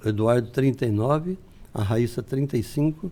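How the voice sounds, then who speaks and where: A man with a dark, mellow tone speaks fairly slowly at a medium pitch, using ordinary pitch variation. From interior of São Paulo state, Brazil. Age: 70s. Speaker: businessman, retired military police officer. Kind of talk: podcast interview. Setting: studio. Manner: conversational, frequent tag 'né'.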